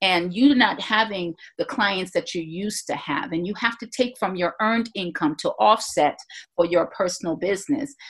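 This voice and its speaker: This woman speaks in a medium pitch with lively intonation at a moderate pace. Her voice is somewhat breathy. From Jamaica. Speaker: minister and business consultant. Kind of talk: interview conversation.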